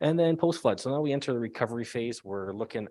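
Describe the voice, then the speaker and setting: Against a quiet background, a man talks with lively intonation and a dark, mellow tone. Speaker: emergency management official. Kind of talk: public presentation. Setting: public meeting with audience. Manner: fast.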